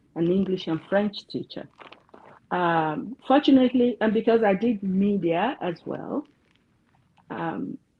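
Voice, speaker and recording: With a Yoruba accent, a woman talks fairly slowly at a medium pitch, her intonation lively. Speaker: counselor. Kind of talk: interview.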